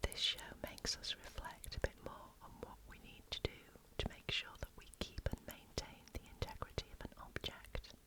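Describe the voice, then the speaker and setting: Whispering with a British accent, a woman speaks at a moderate pace, her loudness swinging widely over noticeable background noise. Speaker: ASMR reader. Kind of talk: casual chat to camera while having coffee. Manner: soft-spoken, whispered.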